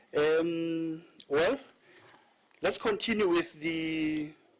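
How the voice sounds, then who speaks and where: A high-pitched man at a very slow pace, with noticeable background noise. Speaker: panel facilitator. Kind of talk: panel moderation at a symposium. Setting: conference stage with audience. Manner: loud.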